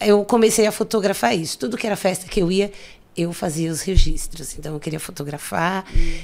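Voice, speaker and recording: This woman talks at a medium pitch. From São Paulo, Brazil (south zone, Campo Limpo). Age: 40s. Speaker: photographer. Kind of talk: casual interview chat. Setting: studio.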